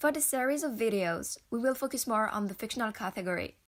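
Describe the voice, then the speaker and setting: A woman with a French accent speaks at a fairly quick pace with ordinary pitch variation on a very clean recording with a silent background. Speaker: educational YouTuber. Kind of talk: educational talk to camera.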